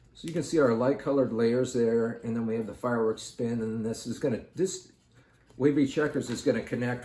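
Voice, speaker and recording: Soft-spoken and dark, mellow in tone, a man of medium pitch talks at a fairly quick pace with ordinary pitch variation. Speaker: art tutorial youtuber. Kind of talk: tutorial. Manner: calm.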